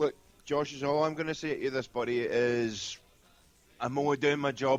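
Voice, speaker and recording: With a Scottish accent, a man talks at a fairly quick pace. His pitch is medium and his intonation fairly even. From Scotland. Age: 20s. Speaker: medium and shaman. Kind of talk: casual interview. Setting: internet radio call-in.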